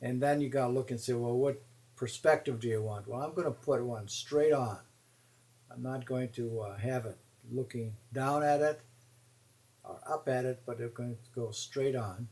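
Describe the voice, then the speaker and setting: A man, somewhat breathy, at a medium pitch and moderate pace with fairly even intonation. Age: 70s. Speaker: watercolor teacher. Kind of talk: tutorial. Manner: halting, many fillers.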